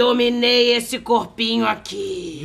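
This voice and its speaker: A put-on character voice is delivered at a fairly high pitch. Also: fairly slow pace. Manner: menacing.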